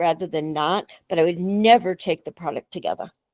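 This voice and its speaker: Dry and close with no echo, a woman's voice comes through on a very clean recording with a silent background. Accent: New York. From New York City. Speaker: functional medicine doctor. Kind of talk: casual chat.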